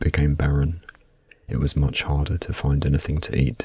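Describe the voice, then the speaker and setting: Soft-spoken, monotone, flat delivery in a British accent at a moderate pace. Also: man. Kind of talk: ASMR sleep narration.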